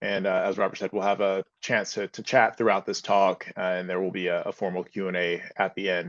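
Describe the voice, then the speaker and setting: A man speaks fairly quickly in a normal speaking voice, with an American accent and fairly low pitch. The background is quiet. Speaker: fitness and sleep expert. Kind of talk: seminar talk.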